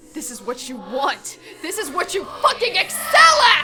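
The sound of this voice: Faint music plays in the background as a woman uses a put-on character voice, high-pitched and bright and sharp in tone, with very wide pitch swings at a fairly slow pace.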